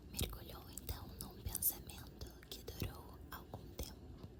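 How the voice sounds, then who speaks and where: Whispering in a calm tone at a very slow pace, the voice comes through noticeable background noise. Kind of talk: ASMR story reading. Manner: whispered; soft-spoken, calm.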